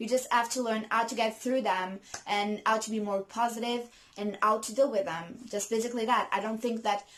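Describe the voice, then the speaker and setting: A woman speaks with a non-native accent at a fairly high pitch. Her intonation is monotone and flat. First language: not English. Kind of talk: casual talk to camera. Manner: hesitant, many fillers.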